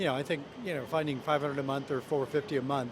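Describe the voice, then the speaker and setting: A man races through his speech very fast while noticeable background noise persists. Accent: American. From US, California (Pasadena). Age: old. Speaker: semi-retired architect, street interviewee. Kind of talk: street interview.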